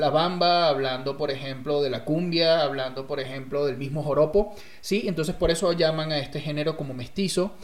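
Over noticeable background noise, a man talks with a fairly high pitch and ordinary pitch variation. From Venezuela, rural agricultural state. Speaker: storyteller, guest co-host. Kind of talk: casual chat.

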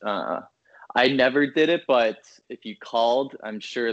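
Fairly even intonation with an American accent. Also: man. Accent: Minnesota accent noticed by Chicagoans. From Minnesota. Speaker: finance worker. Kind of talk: casual chat.

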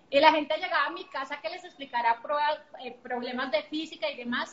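With a Bogotá Colombian accent, a woman speaks in a high pitch with ordinary pitch variation. Her pace is fairly quick. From Colombia, Bogotá. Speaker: entrepreneur. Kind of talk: interview.

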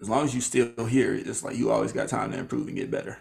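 Very fast in pace, a man speaks with an American accent and vocal fry. His pitch is medium and his intonation fairly even. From small town in Illinois. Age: 20s. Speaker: podcaster and media worker. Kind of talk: casual interview. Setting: video call from his bedroom.

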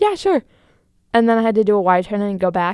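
Someone with an American accent speaks in a dry, close sound with no echo. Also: woman. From US, Wisconsin (Green Bay). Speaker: college student podcast co-host. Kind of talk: casual chat.

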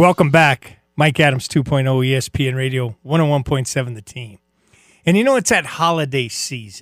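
With music in the background, a man talks at a fairly high pitch and a fairly quick pace. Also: ordinary pitch variation. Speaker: radio sports host. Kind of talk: radio dj patter, upbeat sports-talk monologue. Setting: radio studio. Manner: animated.

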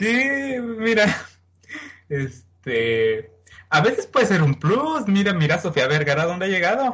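A man's high voice at a very slow pace, with very wide pitch swings and very even loudness. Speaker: podcast co-host. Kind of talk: casual chat.

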